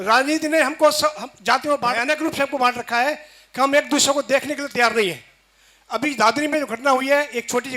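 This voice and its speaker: In a raised, projected voice, a man speaks at an extremely high pitch with a bright, sharp tone and fairly even intonation. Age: 60s. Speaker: audience member asking a question. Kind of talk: question to a religious leader.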